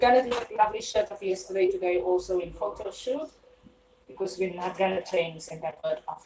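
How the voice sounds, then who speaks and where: A woman talks at a fairly quick pace with an Afrikaans English accent. Noticeable background noise runs behind her. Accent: flat Afrikaans English. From South Africa. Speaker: live-stream cooking host. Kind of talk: casual live-stream chat while cooking.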